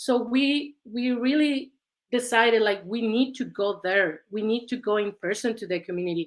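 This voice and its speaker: With a Mexican accent, this speaker talks at a moderate pace and ordinary pitch variation. The recording is very clean, with a silent background. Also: woman, fairly high pitch for a woman. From Mexico. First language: Spanish. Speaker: researcher. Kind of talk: panel discussion.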